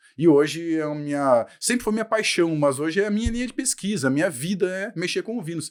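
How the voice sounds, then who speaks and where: A man with a southern Brazilian accent speaks at a fairly quick pace in a high pitch. His intonation is lively, and the recording is very clean with a silent background. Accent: gaúcho. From Brazil, Rio Grande do Sul (western border). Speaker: professor. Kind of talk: podcast interview.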